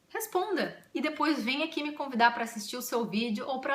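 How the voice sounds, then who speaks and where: A woman's animated speech at a moderate pace, with lively intonation, audible room echo and noticeable background noise. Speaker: YouTuber. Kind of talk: casual vlog.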